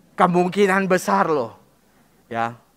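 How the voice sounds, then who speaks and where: Speaking very slowly with a Jakarta accent, a man uses a high pitch and lively intonation. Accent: Betawi. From Jakarta, Betawi area (Palmerah). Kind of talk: sermon. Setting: church. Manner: casual, conversational.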